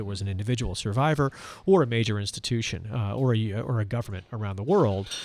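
With ordinary pitch variation, a man speaks at medium pitch in a plain, everyday voice. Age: 50s. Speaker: nonprofit executive. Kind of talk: interview. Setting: live event venue.

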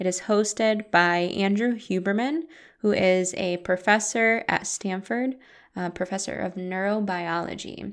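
This woman has an unremarkable speaking voice at medium pitch with ordinary pitch variation. She talks at a fairly slow pace in a very clean recording with a silent background. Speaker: meditation guide and podcast host. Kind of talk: guided meditation. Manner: slow, calm, soothing and gentle, with long pauses; soft-spoken, warm and inviting.

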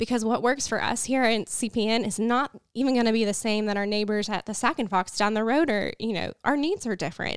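A woman with an American accent, medium pitch and a plain, everyday voice, at a moderate pace with ordinary pitch variation on a very clean recording with a silent background. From northwest Oklahoma. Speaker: communications director for Native agriculture initiative. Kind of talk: interview.

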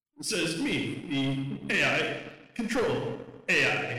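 The speaker performs a put-on character voice. A strong echo surrounds the sound. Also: man, fairly high pitch for a man.

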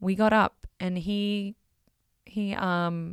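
In a very clean recording with a silent background, a woman talks at a medium pitch. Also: dry, close sound with no echo. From Australia, small coal-mining town. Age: 30s. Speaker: podcast host. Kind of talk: casual monologue. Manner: many filler words (um).

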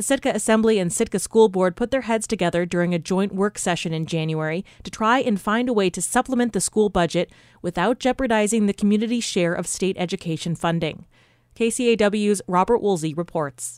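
A woman with a plain, everyday voice speaks at a fairly quick pace. Her pitch is medium with ordinary variation, and the recording is very clean with a silent background. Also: dry, close sound with no echo. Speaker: radio news anchor. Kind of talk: news reading. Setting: studio.

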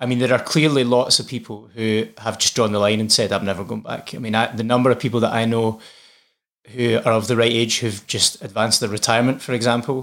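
At a very fast pace, a man talks in a monotone, flat intonation at a medium pitch on a very clean recording with a silent background. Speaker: parkour organisation worker and mental health advocate. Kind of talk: interview chat.

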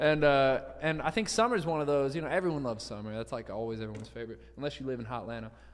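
A man with a Southern US accent talks at a very fast pace and a fairly high pitch. His tone is animated, and there is noticeable background noise. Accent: Southern US (Georgia). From US South, Savannah, Georgia. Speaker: musician and show host. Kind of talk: casual chat.

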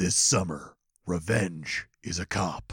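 A man puts on a character voice with a very deep, low pitch. He talks at a fairly slow pace. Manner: dramatic, gravelly-announcer style.

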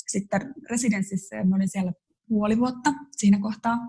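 Somewhat breathy and dark, mellow in tone, a woman's medium-pitched voice moves at a fairly quick pace. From Finland, Joensuu (eastern Finland). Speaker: photographer. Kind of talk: casual interview chat. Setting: remote recording from Paris.

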